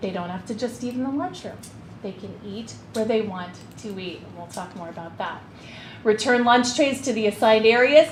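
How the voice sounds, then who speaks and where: A woman talks at a fairly quick pace, her pitch fairly high. Noticeable background noise and audible room echo are present. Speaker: school administrator. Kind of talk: committee meeting presentation. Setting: school board meeting. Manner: fast.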